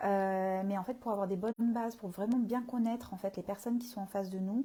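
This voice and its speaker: Her dark, mellow tone is somewhat breathy, as the woman speaks at a medium pitch with fairly even intonation. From southern France, Marseille. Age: 30s. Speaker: communication consultant and coach. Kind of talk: live stream talk. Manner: hesitant, many fillers.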